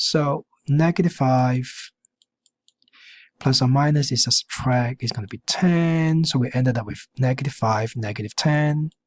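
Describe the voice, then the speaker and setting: The sound is dry and close, with no echo. A somewhat breathy man speaks at a fairly slow pace with ordinary pitch variation. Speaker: math teacher. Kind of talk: tutorial. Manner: halting.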